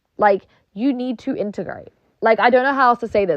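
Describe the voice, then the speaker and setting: Very fast, animated speech in a British accent. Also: woman. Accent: British accent, acquired. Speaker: streamer. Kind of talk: casual monologue rant. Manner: animated, heavy use of filler like.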